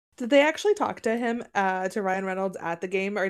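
Fairly quick and at a medium pitch with ordinary variation, a woman speaks in a very clean recording with a silent background. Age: 30s. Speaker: podcast co-host. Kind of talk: casual chat.

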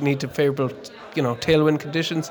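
Music plays in the background as a man speaks with a west of Ireland accent. His pitch is fairly high and his intonation fairly even. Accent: west of Ireland Irish. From Connemara, west of Ireland. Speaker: amateur endurance cyclist. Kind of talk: casual interview. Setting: pub party.

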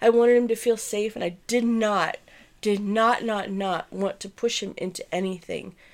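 A woman's fairly high, animated voice at a moderate pace, with big swings in loudness, on a very clean recording with a silent background. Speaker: podcast host. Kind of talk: casual chat. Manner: animated, rambling.

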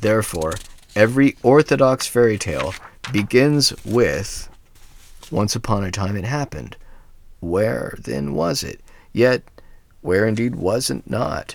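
On a very clean recording with a silent background, a man with vocal fry and a fairly low pitch speaks fairly slowly with lively intonation and long, frequent pauses. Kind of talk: reading aloud a fairy tale, storybook narration. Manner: measured, steady storyteller's pace.

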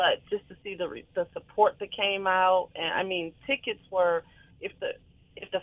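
A woman's ordinary speaking voice, medium in pitch, at a moderate pace. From Detroit, Michigan. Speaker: playwright and stage producer. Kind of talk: interview.

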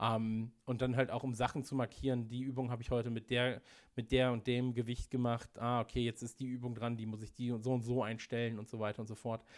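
Speaking at a fairly quick pace, a man uses a medium pitch and monotone, flat intonation. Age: 30s. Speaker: podcast producer and marketer. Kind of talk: casual interview chat. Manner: hesitant, many filler sounds.

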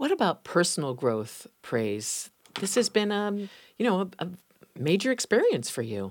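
With vocal fry and very wide pitch swings, a woman at a medium pitch speaks at a moderate pace in a very clean recording with a silent background. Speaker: radio host. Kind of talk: interview.

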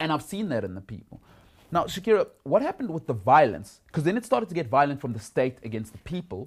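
A man at a very fast pace and fairly high pitch, with very wide pitch swings, big swings in loudness and vocal fry. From South Africa. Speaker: podcast host. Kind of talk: interview conversation.

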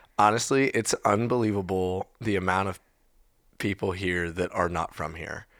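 Very deep, low male speech, very clean recording, silent background. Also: fairly even intonation, moderate pace. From Texas. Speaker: musician. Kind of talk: casual chat.

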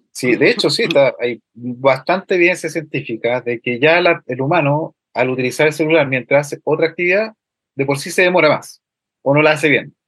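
A man with a fairly high pitch, an ordinary speaking voice, and a fairly quick pace. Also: ordinary pitch variation. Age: 30s. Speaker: university lecturer and road safety educator. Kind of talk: radio interview.

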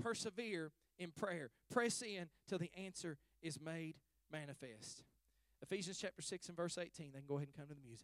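With lively intonation and big swings in loudness, a man speaks at a high pitch in a dry, close sound with no echo. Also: moderate pace. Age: 40s. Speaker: pastor. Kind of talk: sermon.

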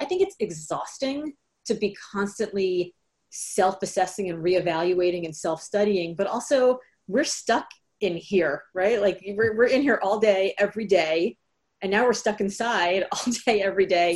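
At a moderate pace, a woman with an American accent and an unremarkable speaking voice talks at a medium pitch with ordinary pitch variation. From Miami, Florida. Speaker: author and speaker. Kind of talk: casual interview. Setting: video call from home.

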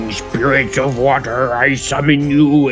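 Loud music plays in the background. A man at medium pitch does a put-on character voice at a fairly slow pace. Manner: shouting.

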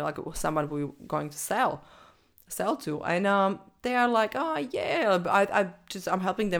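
In a very clean recording with a silent background, a woman with a non-native accent speaks with ordinary pitch variation. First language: not English. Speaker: podcast host and business coach. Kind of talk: solo podcast monologue about business marketing. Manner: halting, with fillers and restarts; stressed about speaking in second language.

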